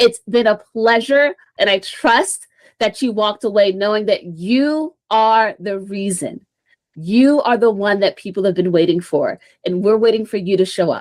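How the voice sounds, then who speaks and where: With an ordinary speaking voice, a woman talks at a moderate pace, her fairly high pitch rising and falling in a usual way. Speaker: social media marketing speaker. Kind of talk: presentation talk.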